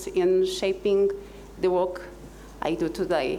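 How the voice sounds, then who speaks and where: A woman with a Portuguese accent at a fairly slow pace, ordinary pitch variation, audible room echo and noticeable background noise. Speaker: exchange alumna in healthcare. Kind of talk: panel discussion.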